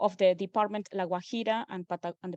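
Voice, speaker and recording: In an Argentine accent, a woman talks fairly quickly at a medium pitch with fairly even intonation, the sound dry and close with no echo over a quiet background. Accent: Argentinian accent in English. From Argentina. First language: Spanish. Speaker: postdoctoral researcher. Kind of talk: academic lecture. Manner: formal, with frequent filler hesitations.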